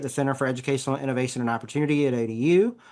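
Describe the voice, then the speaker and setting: A man with a Southern US accent talks over a quiet background. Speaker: education center associate director. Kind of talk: podcast interview. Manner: halting.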